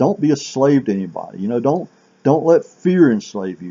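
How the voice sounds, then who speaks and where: A man speaks at a medium pitch, his voice swinging very widely up and down. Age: 60s. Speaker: self-help vlogger. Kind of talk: motivational monologue. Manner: halting.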